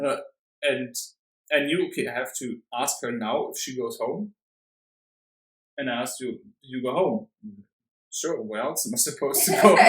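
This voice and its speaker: A moderate pace in a German accent, broken by long, frequent pauses. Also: man. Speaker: vegan activist. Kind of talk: casual chat. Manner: halting.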